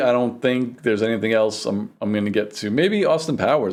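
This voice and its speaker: This is a man speaking. He has a New York accent. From New York City, the Bronx. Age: 40s. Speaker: vlogger. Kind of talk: casual vlog monologue.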